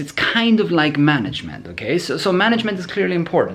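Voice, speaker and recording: Background noise is clearly audible as a man's pitch swings very widely. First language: not English. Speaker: programming educator answering viewer questions. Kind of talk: Q&A video answer, casual monologue. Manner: halting, many repetitions and fillers.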